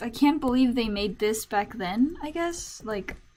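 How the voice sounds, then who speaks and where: This speaker has a non-native accent and talks at a fairly slow pace with lively intonation. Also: woman. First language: not English. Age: young. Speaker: streamer. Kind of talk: casual chat. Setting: live stream.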